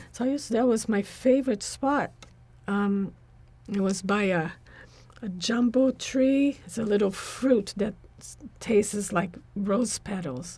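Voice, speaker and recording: A woman with a medium-pitched, somewhat breathy voice and a dark, mellow tone speaks at a fairly slow pace with long, frequent pauses, big swings in loudness and ordinary pitch variation. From Brazil. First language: Portuguese. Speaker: spiritual practitioner. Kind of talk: interview.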